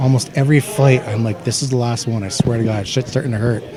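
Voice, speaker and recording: A man speaks with a Canadian accent. Background noise is noticeable. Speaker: MMA fighter. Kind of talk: interview.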